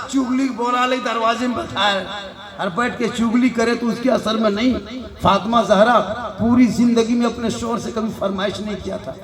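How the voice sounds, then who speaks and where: Amid noticeable background noise and audible room echo, a man speaks in a monotone, flat voice at an extremely high pitch. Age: 50s. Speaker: Islamic preacher. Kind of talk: religious sermon.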